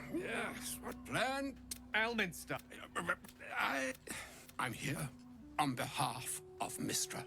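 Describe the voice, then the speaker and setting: Clear music plays in the background. Over it comes a put-on character voice at a very slow pace. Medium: game stream. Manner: measured, dignified.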